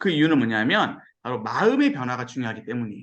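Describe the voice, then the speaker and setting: Pitch swings very widely as a man talks at a fairly quick pace. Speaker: pastor. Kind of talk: sermon-style Bible lecture. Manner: fast when excited; animated.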